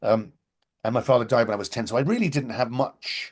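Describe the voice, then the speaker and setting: A man with a British accent, medium in pitch, at a fairly quick pace against a quiet background. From Britain. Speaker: theatre director. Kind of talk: interview.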